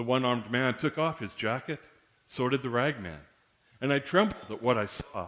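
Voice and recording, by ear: The clip has a speaker reading aloud in a natural voice.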